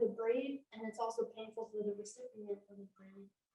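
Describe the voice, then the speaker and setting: Quiet, fairly quick speech with fairly even intonation. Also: woman. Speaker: audience member. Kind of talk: Q&A discussion.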